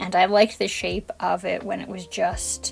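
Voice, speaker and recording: A woman is talking with a moderate tempo. There is noticeable noise in the background. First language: Spanish. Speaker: art YouTuber. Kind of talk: voiceover commentary on painting tutorial. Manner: calm, relaxed.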